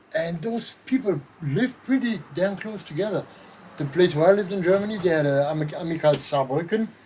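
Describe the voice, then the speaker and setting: A man with a high voice and lively intonation talks fairly quickly while noticeable background noise runs behind him. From France. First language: French. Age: 60s. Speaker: former legionnaire. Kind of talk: casual chat.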